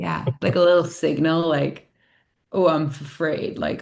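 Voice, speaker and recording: A woman's very deep, low voice with vocal fry and an American accent, over a quiet background. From upstate New York. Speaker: yoga teacher and life coach. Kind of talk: podcast conversation. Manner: casual, many fillers.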